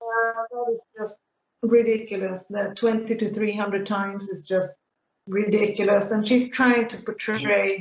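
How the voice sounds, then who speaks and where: The speaker has a Swedish accent and a fairly slow pace. Intonation stays flat and monotone. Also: woman, fairly high pitch for a woman. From Sweden. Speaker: YouTube commentator. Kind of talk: casual chat.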